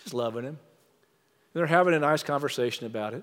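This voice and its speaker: A man's fairly high voice with ordinary pitch variation comes through on a very clean recording with a silent background. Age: 60s. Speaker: former mayor and speaker. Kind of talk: sermon. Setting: stage with audience.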